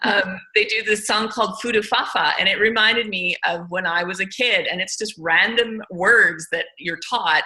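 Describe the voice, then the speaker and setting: A woman speaks at a fairly high pitch and a moderate pace, with ordinary pitch variation. Her tone is animated, and noticeable background noise runs underneath. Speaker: language teacher. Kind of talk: casual chat.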